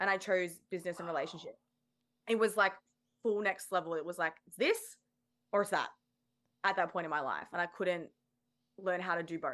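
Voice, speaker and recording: Speaking fairly quickly at medium pitch, a woman keeps her intonation fairly even. Her speech has long, frequent pauses. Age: 20s. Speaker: former personal trainer and NLP coach. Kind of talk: casual chat.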